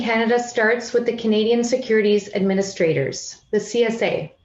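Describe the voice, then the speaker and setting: A woman's high-pitched voice at a very fast pace, over noticeable background noise. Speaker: financial regulator. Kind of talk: conference presentation. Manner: loud; formal.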